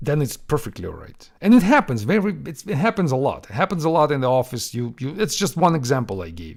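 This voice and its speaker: A man with a Russian accent talks very fast at a fairly high pitch, with vocal fry and very wide pitch swings. His loudness swings widely on a very clean recording with a silent background. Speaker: software developer podcast host. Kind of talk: Q&A podcast monologue.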